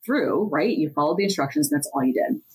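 A woman's unremarkable speaking voice, fairly low in pitch, with lively intonation and an American accent. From central Pennsylvania. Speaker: corporate attorney. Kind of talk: podcast interview.

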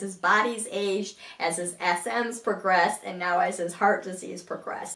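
Room echo comes through clearly. The woman keeps a moderate pace. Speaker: blogger. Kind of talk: casual vlog chat. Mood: calm, warm, informative. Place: home room. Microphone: camera far.

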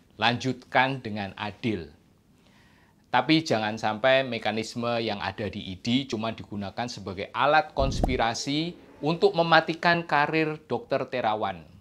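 Noticeable background noise sits behind a man talking with lively intonation. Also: medium pitch for a man, fairly slow pace. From Indonesia. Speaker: orthopedic surgeon and health video host; doctor commentator. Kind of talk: video commentary monologue. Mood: earnest, critical. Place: studio. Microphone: lapel.

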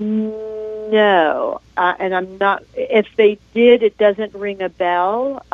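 Over a quiet background with a dry sound and no echo, a woman speaks at a very slow pace with a fairly high pitch and fairly even intonation. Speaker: caller. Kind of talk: call-in question. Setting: phone call. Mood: concerned, polite. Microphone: phone line.

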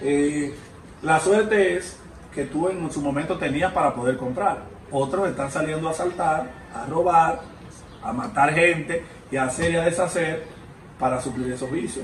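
A man with a Dominican accent speaks at a fairly slow pace and a fairly high pitch, leaving long, frequent pauses. Light background noise and audible room echo are present. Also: ordinary pitch variation. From Dominican Republic. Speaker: interviewer. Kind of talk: interview. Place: home room.

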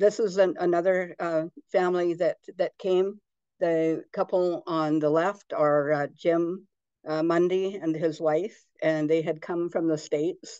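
Over a quiet background, a woman speaks in a dark, mellow tone at a fairly low pitch. Her intonation stays monotone and flat. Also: fairly slow pace. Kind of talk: presentation talk with anecdotes. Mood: warm, storytelling. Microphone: video call.

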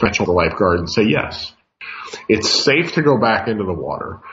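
In a plain, everyday voice, a man speaks at a fairly low pitch. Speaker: radio show host, market analyst. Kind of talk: radio commentary.

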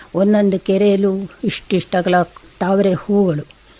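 A woman speaks at a medium pitch in a monotone, flat intonation. Noticeable background noise sits behind her. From India, Karnataka (Hassan). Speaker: writer and botanist. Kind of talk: radio interview. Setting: radio studio.

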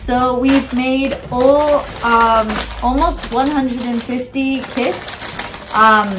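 Speaking at a very slow pace, a woman has a high pitch and fairly even intonation. Noticeable background noise is present. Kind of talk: casual vlog chat. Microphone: camera far.

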